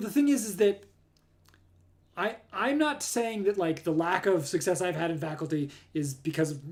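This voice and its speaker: The voice is loud, with an American accent. Its pitch swings very widely. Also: man. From Southern California. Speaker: astronomer. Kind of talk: live stream talk.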